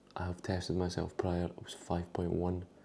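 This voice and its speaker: A man's very deep, low voice in a Scottish accent, dark, mellow and somewhat breathy, at a moderate pace. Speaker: bodybuilder vlogger. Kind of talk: casual vlog. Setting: at home in kitchen. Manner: whispering.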